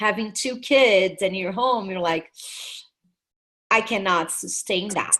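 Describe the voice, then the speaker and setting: Over a quiet background, a woman with a Brazilian Portuguese accent speaks very slowly with long, frequent pauses, her medium-pitched voice bright and sharp and her pitch varying in an ordinary way. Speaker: network marketing team leader. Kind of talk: webinar presentation. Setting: video call.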